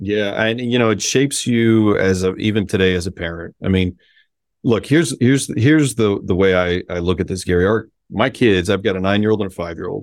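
Over a silent background in a very clean recording, a man with a fairly low pitch talks at a fairly quick pace with ordinary pitch variation. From Miami, Florida (Cuban-American family). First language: Spanish. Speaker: sports team executive. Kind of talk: interview.

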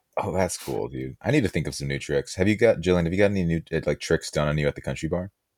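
Very fast speech with vocal fry, ordinary pitch variation, and a dry, close sound with no echo. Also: man, very deep, low pitch for a man. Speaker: podcast guest. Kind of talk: casual banter. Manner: animated, excitable.

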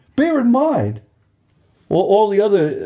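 Against a quiet background, a man with a New York accent and a dark, mellow tone speaks at a moderate pace. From Long Island, New York. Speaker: racing sponsor. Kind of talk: interview. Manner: halting, many fillers.

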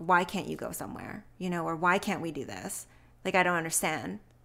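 This woman has a medium pitch, a bright, sharp tone and vocal fry. She speaks at a moderate pace on a very clean recording with a silent background. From Montreal, Quebec. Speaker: lupus patient sharing her story. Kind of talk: interview testimony. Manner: hesitant, many fillers and restarts.

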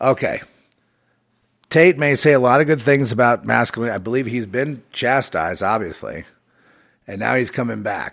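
Using vocal fry, a man talks at a moderate pace with ordinary pitch variation and long, frequent pauses. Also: medium pitch for a man. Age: 70s. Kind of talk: solo livestream monologue. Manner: halting.

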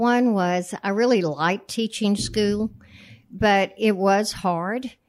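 Someone with an American accent talks at a very slow pace with ordinary pitch variation, recorded very cleanly over a silent background. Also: woman. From Texas, San Antonio (Alamo Heights). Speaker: real estate company founder. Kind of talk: casual interview.

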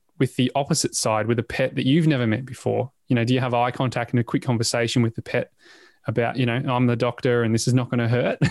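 Speaking very fast, a man with a medium pitch has an Australian accent. The recording is dry and close with no echo. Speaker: podcast host. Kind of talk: casual chat. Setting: video call. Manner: animated.

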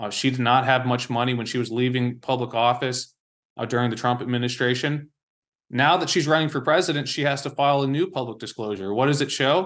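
A man with an American accent and an unremarkable speaking voice, medium in pitch, at a fairly quick pace against a quiet background. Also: ordinary pitch variation. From Washington DC area, US. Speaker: journalist. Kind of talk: interview.

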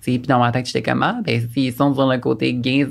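Over noticeable background noise, someone talks at a very fast pace. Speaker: podcast guest. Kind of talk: casual chat.

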